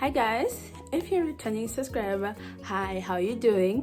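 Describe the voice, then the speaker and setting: With music in the background, a woman speaks in an animated tone at a moderate pace. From Zimbabwe. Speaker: YouTuber. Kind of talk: storytime, casual talk to camera. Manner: chatty, animated.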